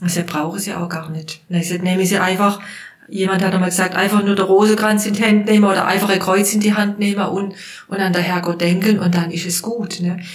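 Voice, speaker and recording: At a fairly quick pace, a woman speaks at medium pitch with monotone, flat intonation. The recording has audible room echo and noticeable background noise. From Baden, southwestern Germany. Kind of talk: casual interview. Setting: hospital room.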